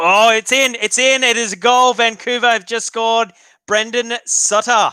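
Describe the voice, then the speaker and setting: With a raised, projected voice at an extremely high pitch, a man speaks in a flat monotone at a moderate pace, the sound dry and close with no echo. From Australia, Victoria. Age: 30s. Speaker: hockey live streamer. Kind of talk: live reaction stream chat. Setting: live stream. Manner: casual, chatty with hesitations.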